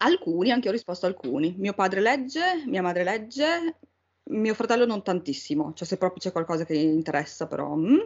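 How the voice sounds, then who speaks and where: Fairly quick speech fills the clip. Its pitch rises and falls very widely. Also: woman, medium pitch for a woman. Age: 40s. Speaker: book podcast co-host. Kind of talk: casual chat.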